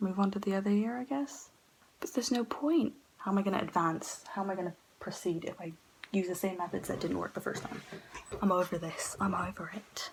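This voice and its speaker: Over noticeable background noise, the whispering moves at a fairly quick pace. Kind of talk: casual talk to camera. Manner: whispered.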